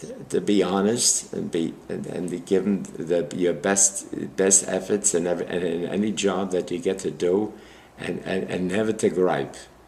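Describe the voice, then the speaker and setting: Speaking with an American accent, a man with a very deep, low pitch and a dark, mellow tone keeps fairly even intonation at a moderate pace. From Brooklyn, New York. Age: 90s. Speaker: war veteran. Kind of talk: oral history interview. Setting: library interview. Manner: halting.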